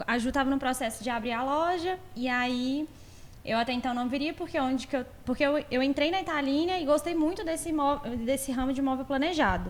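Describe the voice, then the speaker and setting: Her voice is high in pitch, and the woman speaks at a fairly quick pace with ordinary pitch variation. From Belo Horizonte, Brazil. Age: 30s. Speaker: furniture store co-owner, salesperson. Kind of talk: podcast interview.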